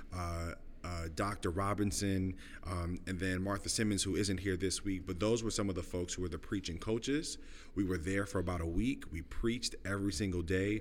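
Someone with an American accent speaks at a moderate pace with fairly even intonation, and room echo is audible. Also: man, very deep, low pitch for a man. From New York City (Brooklyn). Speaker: pastor. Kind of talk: casual interview. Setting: at a festival.

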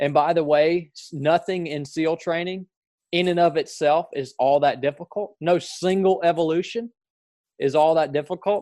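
A high-pitched man's voice in a northwest Georgia accent, with a dark, mellow tone and fairly even intonation. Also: moderate pace. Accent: Southern, northwest Georgia. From northwest Georgia, US. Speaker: former Navy SEAL. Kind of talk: interview conversation.

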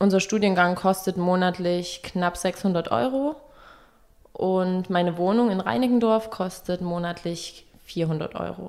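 Speaking very slowly, a woman keeps to a medium pitch. Her pitch varies in an ordinary way. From eastern Germany, small town. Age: 20s. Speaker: fashion journalism student. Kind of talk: student interview. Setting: copy room at the university.

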